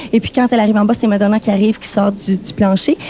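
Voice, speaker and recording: A woman talks with noticeable noise in the background. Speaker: TV music show interviewer. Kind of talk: backstage interview with live translation. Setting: backstage dressing rooms. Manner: very fast.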